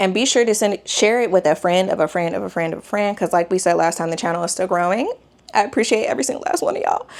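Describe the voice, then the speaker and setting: Speaking very fast in an excited tone, a woman uses a medium pitch with ordinary pitch variation. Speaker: sewing vlogger. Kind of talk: casual vlog talk to camera. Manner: loud, excited.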